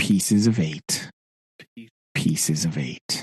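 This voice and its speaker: A man uses a put-on character voice with a very deep, low pitch at a very slow pace. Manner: repetitive, mechanical squawking.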